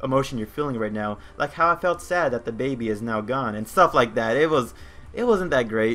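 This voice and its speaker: A man talks in a plain, everyday voice with an American accent. His pace is fairly quick, and his intonation is lively. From United States, Mexican heritage. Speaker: video game streamer. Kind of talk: live gameplay stream chat. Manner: casual, filler-heavy.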